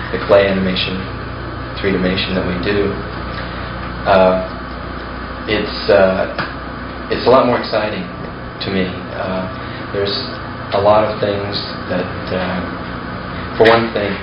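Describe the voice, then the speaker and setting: A man speaks at a fairly slow pace with long, frequent pauses, his voice carrying audible room echo over noticeable background noise. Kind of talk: interview answer. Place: home room. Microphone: old recording.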